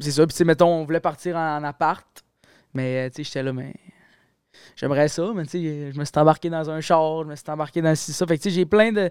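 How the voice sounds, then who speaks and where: A man with a fairly high pitch talks at a fairly quick pace with long, frequent pauses, fairly even intonation and big swings in loudness, in a dry, close sound with no echo. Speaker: university student. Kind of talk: casual chat. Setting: studio.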